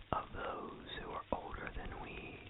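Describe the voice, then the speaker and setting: A voice whispers very slowly. Behind it, noticeable background noise can be heard. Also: man. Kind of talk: whispered poetry reading. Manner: whispered, soft.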